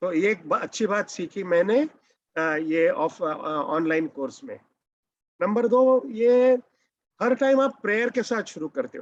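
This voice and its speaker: The recording is dry and close with no echo. A man speaks with a high pitch and lively intonation. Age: 70s. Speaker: course participant sharing feedback. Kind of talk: testimonial feedback on video call. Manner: code-switching Hindi and English.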